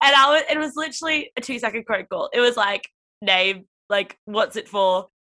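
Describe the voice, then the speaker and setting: A woman with an Australian accent, high-pitched, bright and sharp in tone, with lively intonation and a moderate pace. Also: dry, close sound with no echo. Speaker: podcast host and interviewer. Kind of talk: casual chat.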